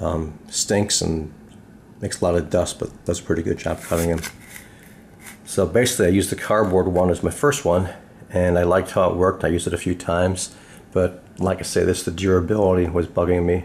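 A man mumbling at a fairly quick pace in a very deep, low pitch, monotone and flat, with long, frequent pauses and light background noise. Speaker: DIY hobbyist. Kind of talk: casual DIY tutorial talk. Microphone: phone near.

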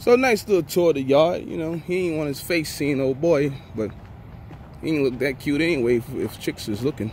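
A man talks at a moderate pace, the sound dry with no echo and a little noise in the background. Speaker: truck driver vlogger. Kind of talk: casual vlog chat. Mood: relaxed, joking. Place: open country. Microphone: phone near.

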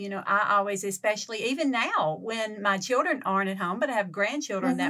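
A woman with a Southern US accent and a bright, sharp tone. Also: very clean recording, silent background. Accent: Southern drawl. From Louisiana, Lake Providence. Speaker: podcast co-host. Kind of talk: casual chat.

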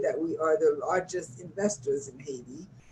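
An ordinary speaking voice from a woman with an American accent, moderate in pace with ordinary pitch variation. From New York. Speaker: nonprofit director and community organizer. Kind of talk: interview. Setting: video call.

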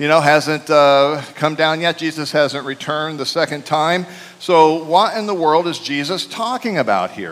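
Moderately paced male speech with ordinary pitch variation. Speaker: preacher. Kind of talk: sermon. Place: church. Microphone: headset.

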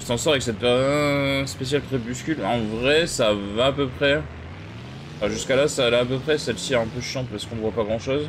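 There is audible room echo and noticeable background noise as a man speaks at a fairly quick pace. His pitch is medium, with ordinary variation. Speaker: gaming streamer. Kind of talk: live gameplay commentary. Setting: live stream. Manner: casual, hesitant with many fillers.

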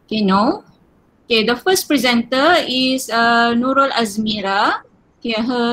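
Her pitch high, a woman speaks at a moderate pace with ordinary pitch variation. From Malaysia. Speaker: session chair. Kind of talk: conference moderation. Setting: video call. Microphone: sounds far away; webcam.

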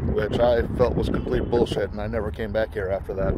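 Loud background noise sits behind a man whose voice sounds dry, with no echo. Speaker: urban explorer vlogger. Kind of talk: casual vlog chat. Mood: nostalgic, reflective. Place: street. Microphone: phone near.

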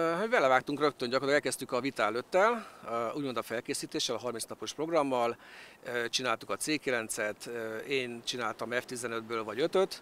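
A man's bright, sharp voice with ordinary pitch variation and long, frequent pauses, dry with no echo, over light background noise. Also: moderate pace. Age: 50s. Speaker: direct-sales distributor. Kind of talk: interview. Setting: outdoors. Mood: calm, positive. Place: waterside. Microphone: handheld.

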